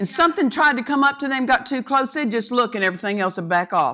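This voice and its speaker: Speaking at a fairly quick pace, a woman with a high pitch uses an animated tone and lively intonation. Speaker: guest preacher. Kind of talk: sermon. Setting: church. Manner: loud.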